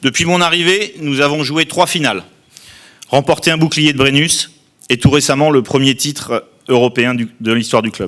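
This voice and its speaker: A man speaks in a plain, everyday voice, fairly high-pitched, with ordinary pitch variation. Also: moderate pace. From southern France, Tarn-et-Garonne. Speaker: outgoing club president. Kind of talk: formal speech. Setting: press conference. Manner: formal.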